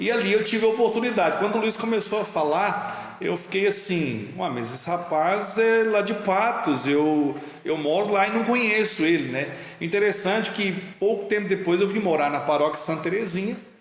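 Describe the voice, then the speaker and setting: A man talks at a moderate pace in a high pitch with ordinary pitch variation. Noticeable background noise and audible room echo fill the recording. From Minas Gerais, Brazil. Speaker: talk show host. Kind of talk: casual interview chat.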